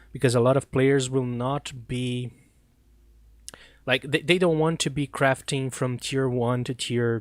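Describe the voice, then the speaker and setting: Someone with a non-native accent talks at a moderate pace with fairly even intonation, recorded dry and close with no echo. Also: man, very clean recording, silent background. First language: not English. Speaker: gaming streamer. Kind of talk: live stream commentary. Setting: live stream.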